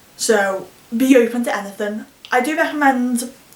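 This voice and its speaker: A woman's fairly high pitch against noticeable background noise. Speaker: vlogger. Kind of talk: casual vlog monologue. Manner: fast.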